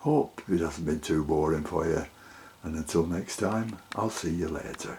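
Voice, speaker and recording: At a fairly slow pace, the somewhat breathy voice shows ordinary pitch variation. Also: man. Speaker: orchid grower. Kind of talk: tutorial. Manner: halting.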